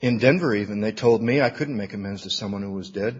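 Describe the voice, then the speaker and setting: A man with an American accent, medium pitch, a somewhat breathy voice and a very fast pace. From Michigan (Battle Creek). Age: 50s. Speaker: recovery workshop speaker. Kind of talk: recovery talk to an audience.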